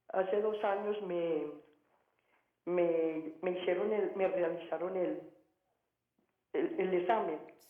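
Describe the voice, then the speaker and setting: The speaker talks at a very slow pace with ordinary pitch variation, and audible room echo fills the recording. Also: woman. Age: 60s. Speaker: caller. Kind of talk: phone-in question. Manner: halting, repeating words.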